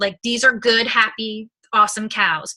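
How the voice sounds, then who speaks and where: A woman is speaking. Her pace is fairly quick. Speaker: nutrition product distributor. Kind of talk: sales pitch. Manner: fast; animated.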